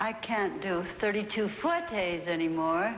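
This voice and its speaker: Audible room echo and noticeable background noise surround a woman who speaks fairly slowly. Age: 70s. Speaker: choreographer. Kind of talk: casual talk during barre exercises.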